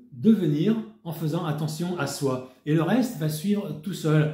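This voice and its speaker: Audible room echo surrounds a man who talks at a very slow pace with lively intonation. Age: 60s. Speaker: wellness network marketer. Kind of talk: sales pitch. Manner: casual, with hesitations.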